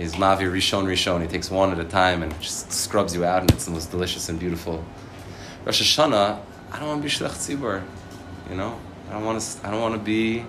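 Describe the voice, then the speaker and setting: A man with an American accent talks at a very fast pace in a very deep, low pitch, with ordinary pitch variation. Noticeable background noise and audible room echo fill the recording. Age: 30s. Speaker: rabbi. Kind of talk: sermon.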